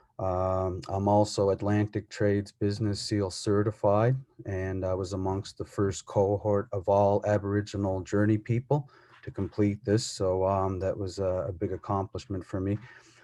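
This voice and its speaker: A man speaks with a dark, mellow tone at a fairly low pitch. His intonation is monotone and flat, his pace moderate, and the background quiet. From Cape Breton, Nova Scotia (Mi'kmaq community). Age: 30s. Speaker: plumber and community mentor. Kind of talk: personal testimony. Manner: halting, many fillers.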